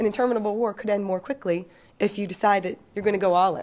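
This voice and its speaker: A woman speaks very fast in an American accent. Her pitch varies in an ordinary way, and the recording is very clean with a silent background. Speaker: defense policy analyst. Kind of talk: panel talk. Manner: halting.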